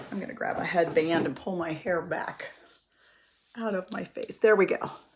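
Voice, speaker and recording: This woman's voice sits at a medium pitch and moves at a moderate pace, with noticeable background noise behind it. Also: ordinary pitch variation. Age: 50s. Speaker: makeup tutorial youtuber. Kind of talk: tutorial. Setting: home office. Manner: casual, chatty with fillers.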